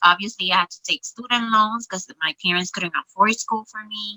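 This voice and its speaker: In a Spanish accent, a woman talks at a moderate pace. Her pitch is medium, with ordinary variation. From Puerto Rico. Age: 40s. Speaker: social worker. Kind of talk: interview testimony.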